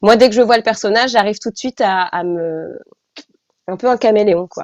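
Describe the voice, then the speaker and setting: This woman's fairly high voice moves at a moderate pace with ordinary pitch variation and big swings in loudness, recorded with a dry, close sound and no echo. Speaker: actress and voice dubber. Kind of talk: interview. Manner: halting.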